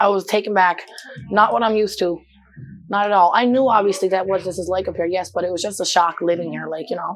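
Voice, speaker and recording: Someone speaks very fast in an animated tone over noticeable background noise. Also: woman, medium pitch for a woman. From Newfoundland, Canada. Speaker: model and dancer. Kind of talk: casual interview chat. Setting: studio.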